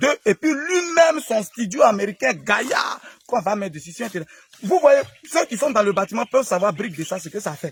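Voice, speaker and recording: A man speaks in an Ivorian accent, his pitch high with very wide swings. The sound is dry and close with no echo, over noticeable background noise. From Côte d'Ivoire. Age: young. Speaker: herbal remedy seller, former street vendor. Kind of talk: casual talk to camera, building site tour.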